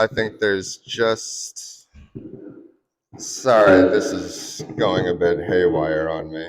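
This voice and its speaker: Here a man speaks with an American accent. His pace is very slow. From Wisconsin. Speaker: fly fishing guide. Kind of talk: presentation to audience.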